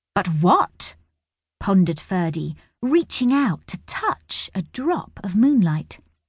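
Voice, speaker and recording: Somewhat breathy speech unfolds at a very slow pace with very wide pitch swings. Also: woman, long, frequent pauses. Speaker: audiobook narrator. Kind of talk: dramatic audiobook narration of a children's fantasy story, with character voices. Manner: expressive storyteller pacing with suspense.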